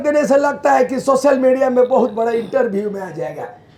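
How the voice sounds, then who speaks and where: A man speaks in an animated tone with lively intonation, at a fairly slow pace. Noticeable background noise runs under his voice. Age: 70s. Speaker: politician. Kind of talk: public speech. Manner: forceful, animated.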